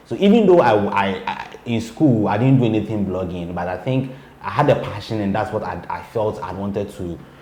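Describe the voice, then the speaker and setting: Noticeable background noise and audible room echo surround a man speaking at a fairly quick pace, his fairly low voice showing ordinary pitch variation. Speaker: blogger and PR person. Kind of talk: interview. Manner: halting, repeats words; calm.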